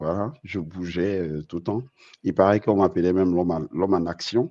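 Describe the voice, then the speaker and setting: Speaking at a moderate pace, a man with a very deep, low voice and ordinary pitch variation sounds dry and close with no echo against a quiet background. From Côte d'Ivoire, Abidjan (Treichville). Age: 40s. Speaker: navigation science engineer. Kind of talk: interview. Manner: hesitant, many fillers.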